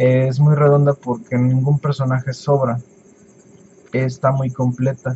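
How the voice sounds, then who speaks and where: Here a man speaks at a medium pitch and a fairly slow pace, taking long, frequent pauses. His voice is somewhat breathy. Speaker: YouTuber. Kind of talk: Q&A vlog. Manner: halting.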